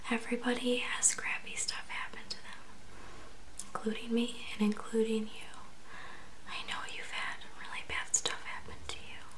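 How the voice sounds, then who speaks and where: A woman whispers in a gentle tone at a moderate pace. She leaves long, frequent pauses over light background noise. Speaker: video creator. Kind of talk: intimate comforting address to viewer. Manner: gentle intimate whisper. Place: home room. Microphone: phone near.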